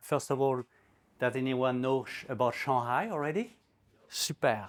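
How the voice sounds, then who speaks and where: Someone with a French accent speaks at a fairly slow pace on a very clean recording with a silent background. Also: man. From France, Normandy. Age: 60s. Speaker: newspaper editor and guest speaker. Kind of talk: talk to a community group. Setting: community event with audience.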